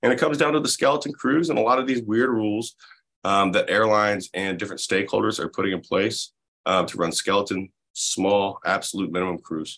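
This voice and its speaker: A man speaks very fast with an American accent. His intonation is lively. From US South, Florida Panhandle. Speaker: labor organizer. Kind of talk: casual chat. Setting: video call.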